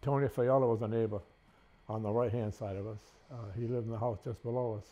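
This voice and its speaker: At a very fast pace, a man talks with a medium pitch. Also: fairly even intonation. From Rhode Island (South Kingstown area). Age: 90s. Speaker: elderly local resident. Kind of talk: oral history interview. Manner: halting.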